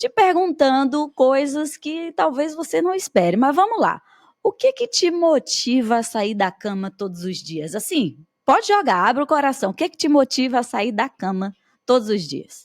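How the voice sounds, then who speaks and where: In a Bahian accent, a woman speaks at a high pitch with very wide pitch swings and big swings in loudness, the sound dry and close with no echo. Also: moderate pace. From Bahia, Brazil. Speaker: podcast host and teacher. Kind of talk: podcast interview. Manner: animated.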